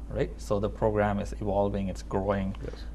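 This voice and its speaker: Light background noise behind a man at a moderate pace. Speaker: TV talk show host. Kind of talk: TV interview. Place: studio. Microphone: lapel.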